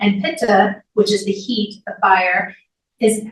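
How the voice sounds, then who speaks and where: Using a plain, everyday voice, a woman speaks at a fairly high pitch and a fairly slow pace. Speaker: Ayurveda health counselor and yoga teacher. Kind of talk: lecture; Q&A answer.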